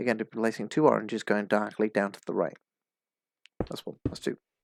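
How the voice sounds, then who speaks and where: This is a very clean recording with a silent background. The sound is dry and close, with no echo. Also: man. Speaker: minecraft pixel art tutorial creator. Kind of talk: tutorial. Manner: fast.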